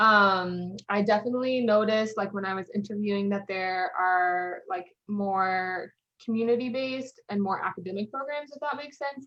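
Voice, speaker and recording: Using an unremarkable speaking voice, a woman with an American accent talks at a moderate pace in a medium pitch with ordinary pitch variation. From Colorado, US. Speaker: medical resident. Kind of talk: interview. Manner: casual, many fillers.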